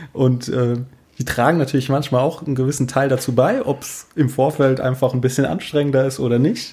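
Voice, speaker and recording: A man talks at a fairly quick pace with fairly even intonation. His voice is dark, mellow, and somewhat breathy. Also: medium pitch for a man. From Rhineland-Palatinate, rural Palatinate village. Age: 30s. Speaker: DJ and youth welfare office employee. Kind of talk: casual interview chat.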